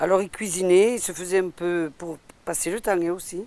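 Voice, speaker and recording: A woman speaks with fairly even intonation. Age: 60s. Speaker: retired cook. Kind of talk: cooking demonstration. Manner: casual, halting.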